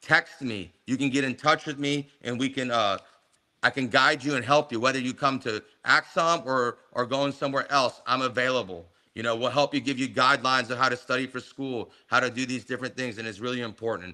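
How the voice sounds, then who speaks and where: A man with a medium pitch and a bright, sharp tone talks at a fairly quick pace with fairly even intonation. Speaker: medical school founder. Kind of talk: webinar presentation. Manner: fast.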